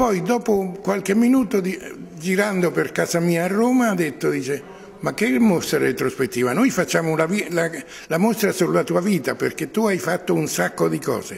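Lively intonation marks a man's high-pitched voice at a moderate pace. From Marche, Italy (San Severino Marche); Marche, Italy. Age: 80s+. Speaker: artist. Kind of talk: interview. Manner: halting. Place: hall.

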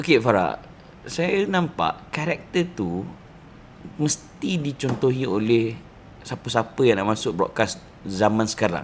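At a fairly slow pace, a man speaks with long, frequent pauses and very wide pitch swings. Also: medium pitch for a man. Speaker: show host. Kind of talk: casual chat interview.

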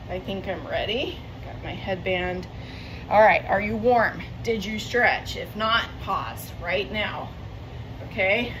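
Through noticeable background noise, a woman talks at a very slow pace with long, frequent pauses and big swings in loudness. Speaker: fitness instructor. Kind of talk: follow-along home workout class, counting reps and cueing exercises between timer beeps. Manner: short, clipped commands shouted in bursts during intervals; chatty and self-correcting, with frequent ums and repeated words. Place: home room. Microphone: camera far.

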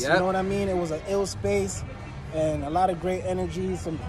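Clear music plays behind a man speaking at a high pitch, the sound dry with no echo. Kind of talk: casual vlog chat. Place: street. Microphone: phone near.

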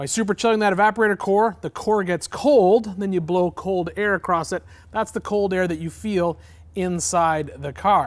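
Moderate-paced speech from a man. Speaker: vehicle builder host. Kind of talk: tutorial. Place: garage.

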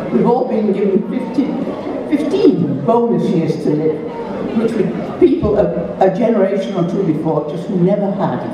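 With lively intonation and long, frequent pauses, a woman talks at a moderate pace amid noticeable background noise and audible room echo. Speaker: blogger and festival opening speaker. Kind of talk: festival opening speech to an audience. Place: stage.

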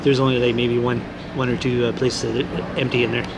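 Fairly quick male speech with noticeable noise behind it. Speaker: vlogger. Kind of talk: casual vlog chat. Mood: glum, resigned. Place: hall. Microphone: phone near.

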